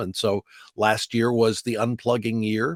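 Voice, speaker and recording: Here a man with an American accent talks at a moderate pace in a plain, everyday voice, medium in pitch with fairly even intonation. The recording is very clean with a silent background and a dry, close sound with no echo. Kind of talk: interview answer about his career.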